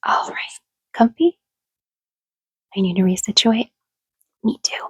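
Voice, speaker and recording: A soft-spoken woman with a gentle tone talks at a moderate pace in a dry, close sound with no echo. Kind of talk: casual ASMR talk to listener, roleplay. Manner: soft-spoken, gentle, relaxing.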